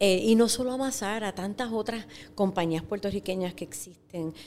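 Speaking in an unremarkable speaking voice, a woman keeps a medium pitch, ordinary pitch variation, and a fairly quick pace. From Puerto Rico, Ciales. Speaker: agri-food entrepreneur, former teacher. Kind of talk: interview.

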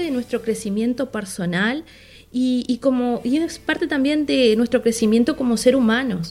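A woman's high voice, lively in intonation, at a fairly slow pace. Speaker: podcast co-host, business coach. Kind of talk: casual talk show chat and advice segments.

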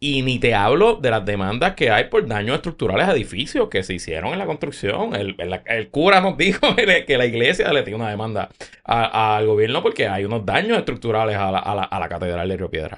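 Hardly pausing, a man talks at a fairly quick pace in a medium pitch. His pitch swings very widely. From Puerto Rico, San Juan. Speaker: podcaster. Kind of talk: casual chat.

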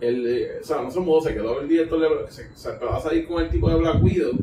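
This man speaks fairly quickly with a Puerto Rican accent, his pitch fairly high. Noticeable background noise runs behind him. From Puerto Rico. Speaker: podcast guest. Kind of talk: casual chat.

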